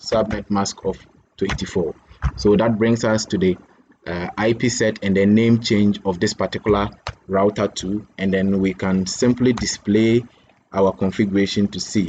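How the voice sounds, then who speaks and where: Speaking at a moderate pace, a man with a plain, everyday voice keeps a fairly low pitch and fairly even intonation. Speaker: networking instructor. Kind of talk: tutorial.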